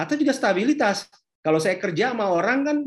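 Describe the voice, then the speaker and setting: A man speaks with lively intonation. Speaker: entrepreneurship speaker. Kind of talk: online workshop talk. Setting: video call. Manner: animated.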